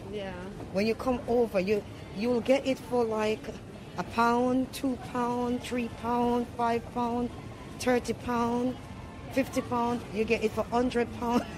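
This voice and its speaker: Over clear music in the background, a woman speaks at a very slow pace with monotone, flat intonation. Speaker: vlogger. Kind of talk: casual vlog chat. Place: shop. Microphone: phone near.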